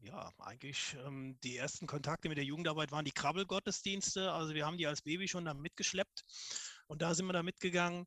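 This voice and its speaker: A man speaks with a fairly high pitch, a bright, sharp tone and ordinary pitch variation. The sound is dry and close, without echo. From Koblenz, Germany. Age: 40s. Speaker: civil engineer. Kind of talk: casual group chat. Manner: hesitant, many fillers.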